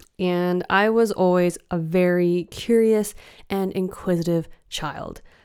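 A woman's medium-pitched voice with a Western Canadian accent, very slow pace and fairly even intonation, in a very clean recording with a silent background. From Canada, British Columbia. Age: 30s. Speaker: spiritual guide. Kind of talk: solo podcast monologue. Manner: warm, gentle.

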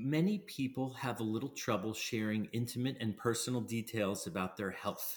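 Moderate pace from a man with a somewhat breathy voice, an American accent and very even loudness. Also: medium pitch for a man, ordinary pitch variation, hardly any pauses. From Pennsylvania. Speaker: transplant physician. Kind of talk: interview.

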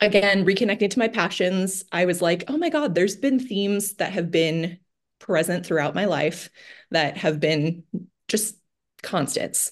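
Speaking at a fairly slow pace with long, frequent pauses, a woman with a Californian accent uses a medium pitch and ordinary pitch variation against a quiet background. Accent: Californian American. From US West Coast, San Francisco Bay Area. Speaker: financial coach. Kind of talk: casual interview chat.

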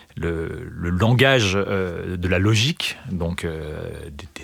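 A man speaks with ordinary pitch variation. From eastern France (Vosges). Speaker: mathematics lecturer and researcher. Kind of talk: interview. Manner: halting, many fillers and repetitions.

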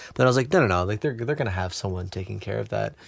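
A fairly low male voice with vocal fry and ordinary pitch variation, on a very clean recording with a silent background. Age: 20s. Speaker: cacao ceremony facilitator. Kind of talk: casual chat.

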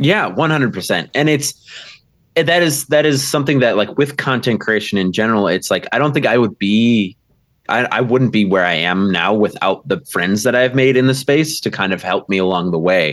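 A man with an American accent speaks at a moderate pace in a medium pitch, his intonation lively and his loudness very even. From US Midwest, Milwaukee, Wisconsin. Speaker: ballroom dancer and actual play game master. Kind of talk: casual interview chat.

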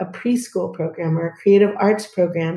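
With an American accent, a woman talks at a moderate pace in a dark, mellow tone with ordinary pitch variation. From US Northeast. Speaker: early childhood educator and preschool founder. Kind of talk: casual interview.

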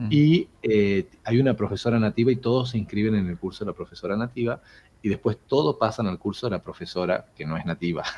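A man's fairly low voice with a dark, mellow tone, lively intonation and a fairly quick pace. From Argentina, Jujuy (far north). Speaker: English teacher. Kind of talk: casual interview.

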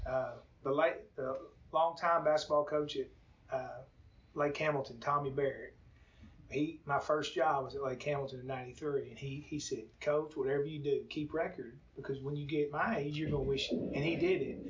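Speaking at a moderate pace with an Arkansas accent, a man uses a fairly high pitch and fairly even intonation. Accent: Southern US (Arkansas). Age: 50s. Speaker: high school basketball coach. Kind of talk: interview. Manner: halting.

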